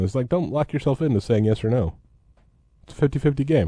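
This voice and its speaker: With a quiet background, a man with a dark, mellow tone and somewhat breathy delivery talks at a very fast pace. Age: 30s. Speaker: sports beat writer. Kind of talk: casual chat.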